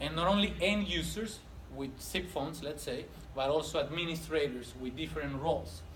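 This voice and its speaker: Amid noticeable background noise and audible room echo, a man speaks at a fairly quick pace with a fairly high pitch and ordinary pitch variation. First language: not English. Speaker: technical trainer. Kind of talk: lecture.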